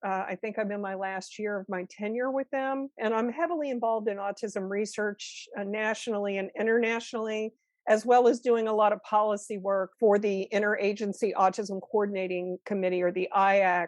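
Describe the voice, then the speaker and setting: An unremarkable speaking voice from a woman, fairly high-pitched, at a fairly quick pace with hardly any pauses and fairly even intonation. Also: dry, close sound with no echo. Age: 60s. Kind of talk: podcast interview.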